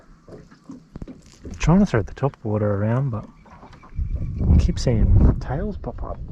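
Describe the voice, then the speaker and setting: A man at a very slow pace, with long, frequent pauses, big swings in loudness and noticeable background noise. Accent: Australian. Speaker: fishing vlogger. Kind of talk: casual vlog commentary. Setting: outdoors on a boat on a dam.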